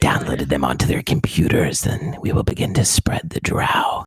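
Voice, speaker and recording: A man whispers in a put-on character voice. He keeps a moderate pace. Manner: menacing, theatrical.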